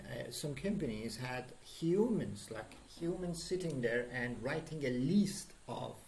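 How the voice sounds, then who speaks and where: A man with a Persian accent, fairly high pitch, lively intonation and a fairly slow pace, with audible room echo. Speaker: programming instructor. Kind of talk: lecture. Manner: halting, many fillers.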